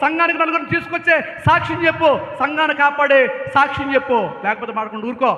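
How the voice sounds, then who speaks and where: Over noticeable background noise, a man speaks in a raised, projected voice with an animated tone. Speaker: pastor. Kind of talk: sermon. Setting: church. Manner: loud.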